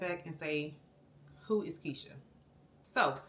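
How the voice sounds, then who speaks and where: Audible room echo around a female speaker. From Florida. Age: 40s. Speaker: vlogger, army veteran. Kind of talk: casual vlog talk to camera. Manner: conversational, many fillers (um).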